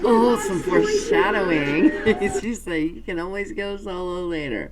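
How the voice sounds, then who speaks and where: Woman at a moderate pace with big swings in loudness, music playing in the background. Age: 50s. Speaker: music reaction YouTuber. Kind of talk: casual reaction commentary.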